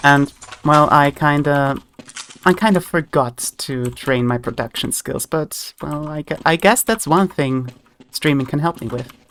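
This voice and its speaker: Someone with an Austrian accent talks at a fairly slow pace. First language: German. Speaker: vtuber streamer. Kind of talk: gaming livestream chat. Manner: halting.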